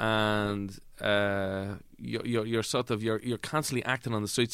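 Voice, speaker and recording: A man talks at a fairly quick pace in an Irish accent. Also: very clean recording, silent background. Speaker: actor. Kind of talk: comedic interview chat.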